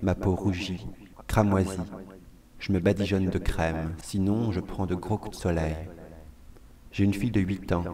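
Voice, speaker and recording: Slow-paced with long, frequent pauses, a man speaks at a very deep, low pitch with fairly even intonation. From France (Vendée). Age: 30s. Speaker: performer, monologue artist. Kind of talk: scripted monologue.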